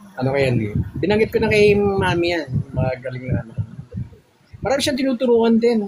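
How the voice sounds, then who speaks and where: A man with a high pitch, very wide pitch swings and a fairly quick pace broken by long, frequent pauses, over noticeable background noise. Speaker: live stream participant. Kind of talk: casual chat.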